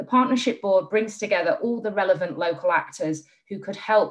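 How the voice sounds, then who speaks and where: With a Yorkshire accent, the speaker goes at a moderate pace with ordinary pitch variation against a quiet background. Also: woman. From northern England. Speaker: charity chief executive. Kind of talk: panel discussion. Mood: warm, enthusiastic. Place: home room. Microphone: video call.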